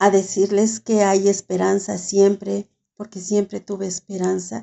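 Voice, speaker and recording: A woman with a Mexican accent speaks at a medium pitch in a monotone, flat intonation. Her loudness swings widely. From Mexico. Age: 70s. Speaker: writer and caregiver. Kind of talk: interview testimony.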